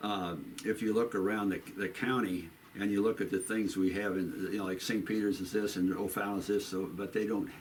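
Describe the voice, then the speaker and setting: A man with a Midwestern American accent speaks at a fairly low pitch. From US Midwest, St. Charles, Missouri. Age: 80s+. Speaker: local shop owner. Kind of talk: oral history interview. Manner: casual, repetitive phrasing.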